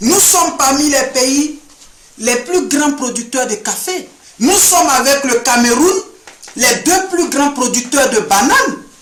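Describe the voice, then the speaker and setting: A man speaks very slowly in an extremely high pitch, with ordinary pitch variation, very even loudness, audible room echo and noticeable background noise. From Ivory Coast. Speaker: sociology student. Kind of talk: address to camera. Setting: indoor room. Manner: formal.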